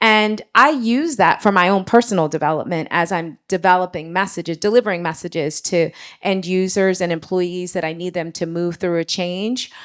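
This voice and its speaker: A woman with a normal speaking voice speaks at medium pitch and a moderate pace with ordinary pitch variation and hardly any pauses, on a very clean recording with a silent background. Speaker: marketing leader. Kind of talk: panel discussion.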